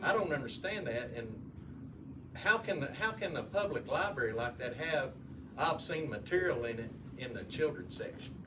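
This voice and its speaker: With a Southern US accent, a man talks at a moderate pace in a fairly high voice, his intonation lively over noticeable background noise and audible room echo. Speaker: audience member asking a question. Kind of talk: question from the floor. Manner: loud.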